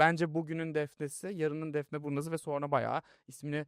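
A man speaks fairly quickly with an unremarkable speaking voice. His pitch sits fairly high, and the sound is dry and close with no echo. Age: 20s. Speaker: youtube interview host. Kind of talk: casual interview chat. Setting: studio.

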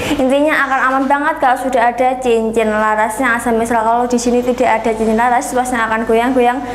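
A woman speaks very fast at a high pitch, with monotone, flat intonation, very even loudness and hardly any pauses. Light background noise and audible room echo can be heard. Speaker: online airgun shop seller. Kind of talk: sales pitch. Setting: video review in front of airguns. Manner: pushy, repeatedly urging viewers to watch to the end; fast, rambling, repetitive product-spec patter. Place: shop.

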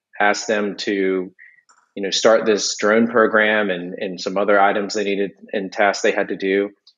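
Against a quiet background, a man with a fairly low pitch talks in a flat monotone at a moderate pace. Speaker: civil engineer and drone program manager. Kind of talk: casual interview. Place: home room. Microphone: video call.

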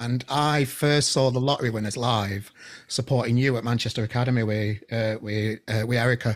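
A man at a fairly quick pace, with fairly even intonation over a quiet background. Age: 40s. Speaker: podcast host. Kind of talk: casual interview chat. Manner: halting, repeats words. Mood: warm, appreciative. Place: home room. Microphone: studio mic.

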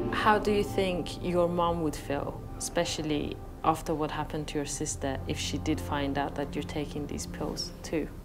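A woman's very deep, low voice with very wide pitch swings, a moderate pace, and hardly any pauses, over clear music in the background. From British Iranian. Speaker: TV reporter and documentary presenter. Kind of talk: documentary reporting. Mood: earnest, empathetic.

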